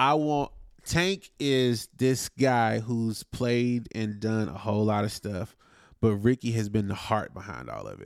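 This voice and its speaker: In a plain, everyday voice, a man of medium pitch speaks at a fairly slow pace with ordinary pitch variation and big swings in loudness, on a very clean recording with a silent background. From North Carolina, Wilson. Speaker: musician, drummer. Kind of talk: casual interview.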